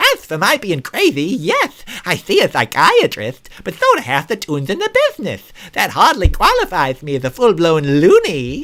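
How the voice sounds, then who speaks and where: A man does a put-on character voice at a high pitch. He keeps a moderate pace. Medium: read story. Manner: eager, nervous.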